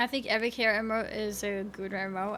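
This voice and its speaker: A woman with an American accent speaks at a moderate pace, her fairly high voice keeping a fairly even intonation. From Sweden. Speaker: video game streamer. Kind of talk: live gaming stream commentary. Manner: casual, chatty with fillers.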